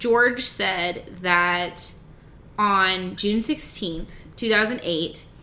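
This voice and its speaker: A woman's medium-pitched voice, bright and sharp in tone, with ordinary pitch variation and audible room echo. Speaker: podcast co-host. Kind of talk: casual chat.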